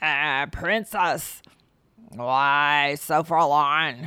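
Croaky and at a low-to-middle pitch, the speaker uses a put-on character voice.

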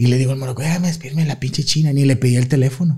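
A man with a medium-pitched, somewhat breathy voice and a dark, mellow tone talks at a very fast pace. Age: 30s. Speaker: comedian. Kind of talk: casual chat. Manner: animated.

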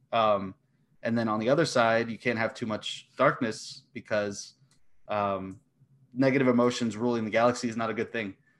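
A very clean recording with a silent background of a man at medium pitch, moderate pace and monotone, flat intonation. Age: 20s. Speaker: competitive trivia player. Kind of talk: casual chat.

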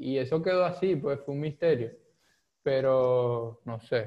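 The man talks at a very slow pace. Each word comes out very slowly. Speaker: podcast co-host. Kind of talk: casual chat.

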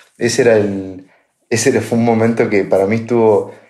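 With fairly even intonation, a man speaks at a moderate pace as room echo can be heard. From Argentina, La Pampa. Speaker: podcast co-host, tech sales. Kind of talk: casual chat.

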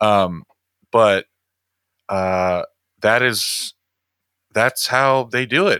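A man's very slow, medium-pitched voice with a General American accent, a bright, sharp tone, ordinary pitch variation and long, frequent pauses, recorded dry and close with no echo. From US Midwest. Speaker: podcast host and musician. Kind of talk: casual interview chat.

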